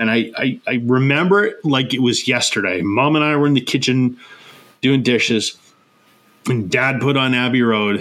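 In a Canadian accent, a man speaks in an unremarkable speaking voice at a medium pitch and moderate pace. His pitch variation is ordinary and his loudness very even. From Canada. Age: 40s. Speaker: podcast host. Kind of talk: casual chat.

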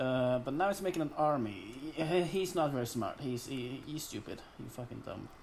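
The man's voice sits at a medium pitch with lively intonation, moving at a moderate pace. Audible room echo carries his words. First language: not English. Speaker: podcast co-host and video editor. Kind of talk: casual chat.

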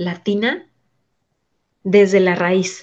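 A woman talks very slowly, her intonation staying fairly even. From Mexico City. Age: 40s. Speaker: migrant mother. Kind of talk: interview testimony.

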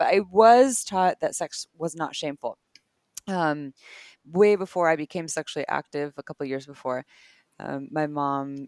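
A woman in an American accent speaks at a moderate pace with lively intonation, the sound dry and close with no echo. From US West Coast, Santa Cruz, California. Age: 30s. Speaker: sex educator and podcast co-host. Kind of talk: casual educational interview.

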